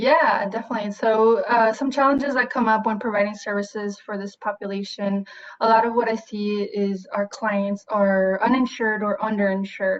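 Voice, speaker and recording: A woman with a Spanish accent speaks at a moderate pace with fairly even intonation and hardly any pauses. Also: fairly high pitch for a woman. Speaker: therapist. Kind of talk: interview. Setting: video call.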